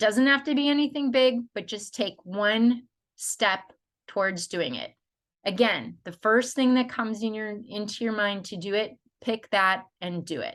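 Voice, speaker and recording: Over a quiet background, a woman uses a normal speaking voice with a fairly high pitch, ordinary pitch variation and a moderate pace. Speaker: life coach. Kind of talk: tutorial. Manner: casual, conversational.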